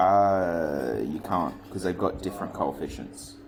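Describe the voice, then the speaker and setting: A man with a fairly low pitch speaks as noticeable background noise carries on behind him. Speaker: maths teacher. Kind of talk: lesson. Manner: casual.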